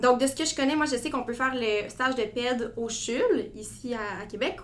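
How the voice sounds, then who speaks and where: Audible room echo surrounds a woman's high voice as she speaks at a moderate pace with ordinary pitch variation. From Quebec (Gatineau). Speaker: medical student. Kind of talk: interview.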